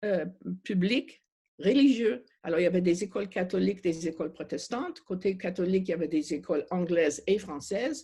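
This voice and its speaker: Somewhat breathy and dark, mellow in tone, a woman speaks at medium pitch with a slight non-native accent. Her intonation is lively and her pace moderate. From Montreal, Quebec. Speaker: refugee advocate. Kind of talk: panel discussion. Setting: video call. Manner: halting.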